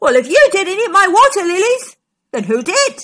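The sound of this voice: Bellowing in a put-on character voice, the speaker uses a bright, sharp tone with big pitch swings at a moderate pace. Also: woman, extremely high pitch for a woman.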